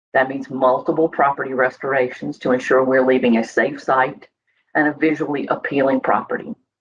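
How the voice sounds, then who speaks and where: Speaking fairly quickly with a North Carolina accent, a woman uses a very deep, low pitch and fairly even intonation. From northeastern North Carolina. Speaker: utility communications coordinator. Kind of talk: scripted podcast interview answer. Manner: formal.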